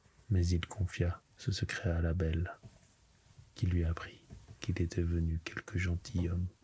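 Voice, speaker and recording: Very slow pacing marks this delivery. The speaker is soft-spoken. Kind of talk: bedtime story reading, ASMR.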